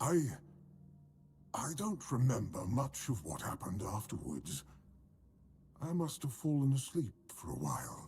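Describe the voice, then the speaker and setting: A man puts on a character voice at a medium pitch, with very wide pitch swings. He keeps a moderate pace and takes long, frequent pauses. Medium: video game. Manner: chatty, rambling.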